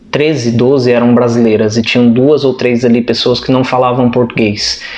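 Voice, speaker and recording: A man with a medium pitch speaks at a moderate pace. Noticeable background noise can be heard. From Brazil. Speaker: vlogger. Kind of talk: casual chat.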